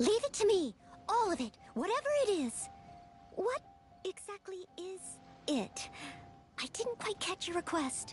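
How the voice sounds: A woman puts on a character voice at an extremely high pitch, with big pitch swings. She goes at a fairly slow pace while faint music plays in the background.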